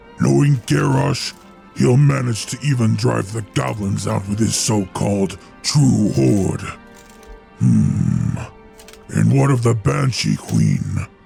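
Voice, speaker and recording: A man puts on a growling character voice at a fairly low pitch and a fairly slow pace. Clear music plays in the background. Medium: machinima.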